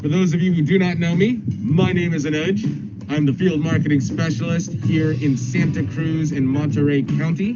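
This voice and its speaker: Fairly high male voice at a moderate pace, with ordinary pitch variation, audible room echo and music in the background. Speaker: real estate marketing trainer. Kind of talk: tutorial. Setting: outdoors at a property. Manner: clear, precise enunciation.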